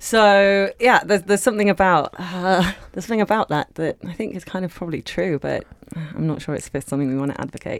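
A woman with a London accent at a very fast pace, medium pitch with ordinary variation, dry and close with no echo, on a very clean recording with a silent background. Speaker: cookbook author and cook. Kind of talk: casual interview chat.

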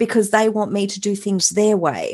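A woman speaks with an Australian accent. Her pace is moderate and her pitch medium. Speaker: mindset and transformation coach. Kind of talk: interview.

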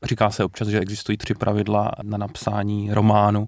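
On a very clean recording with a silent background, a man talks at a very fast pace in a fairly low voice. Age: 30s. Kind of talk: radio interview. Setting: radio studio.

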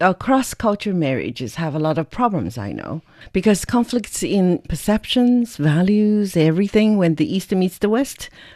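With a Chinese accent, a woman talks at a moderate pace in a medium-pitched, dark and mellow voice, her intonation lively and her speech almost free of pauses against a quiet background. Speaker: podcast interviewer. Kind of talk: interview.

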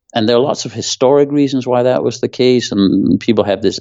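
This is a man's voice. He speaks with a Danish accent. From Denmark. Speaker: former hedge fund manager. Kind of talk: interview.

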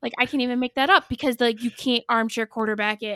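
With an American accent, a woman speaks in a high-pitched, bright, sharp tone, recorded very cleanly against a silent background with a dry, close sound and no echo. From northern US. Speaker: nurse. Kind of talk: casual chat.

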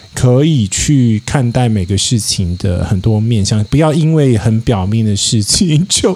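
A man's voice over noticeable background noise. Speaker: podcaster. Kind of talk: casual chat. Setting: outdoors at a hillside teahouse.

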